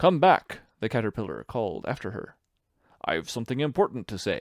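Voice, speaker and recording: In a put-on character voice, a man speaks at a medium pitch with very wide pitch swings and a moderate pace. The sound is dry and close with no echo, on a very clean recording with a silent background. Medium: read story. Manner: curt, contradicting.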